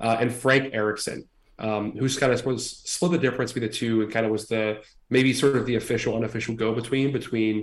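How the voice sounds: This natural reading voice keeps a fairly even intonation.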